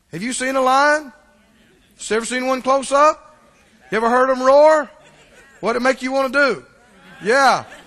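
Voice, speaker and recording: A speaker with a Mississippi accent talks at a moderate pace, with fairly even intonation. Long pauses come often. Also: man, extremely high pitch for a man. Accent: US Southern (Mississippi). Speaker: pastor. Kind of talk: sermon. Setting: church.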